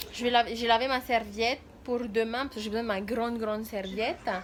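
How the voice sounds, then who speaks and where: Speaking fairly quickly with ordinary pitch variation, a woman is heard over noticeable background noise. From Tahiti, French Polynesia. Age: 20s. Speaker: mother and vlogger. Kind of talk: casual vlog talk to camera.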